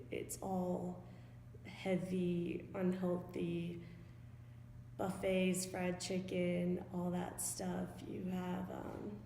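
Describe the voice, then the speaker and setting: In a room with audible echo, a woman with an American accent speaks at a very slow pace. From US South, Johns Creek, Georgia (Atlanta suburb). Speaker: college student. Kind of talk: interview testimony.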